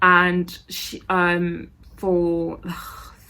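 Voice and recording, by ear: Mumbling in a put-on character voice, a woman speaks at a fairly low pitch with monotone, flat intonation.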